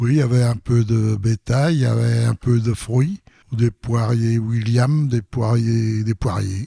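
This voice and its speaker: Speaking at a very slow pace, a man with a medium pitch and a dark, mellow, somewhat breathy tone keeps fairly even intonation and very even loudness in a dry, close sound with no echo. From France, Lyon area. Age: 80s+. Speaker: retired farmer. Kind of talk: interview testimony.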